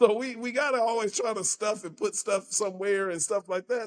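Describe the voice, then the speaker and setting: With an American accent, a man talks very fast with ordinary pitch variation. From Southern California (Altadena). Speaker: community advocate and coach. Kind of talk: podcast interview. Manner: animated.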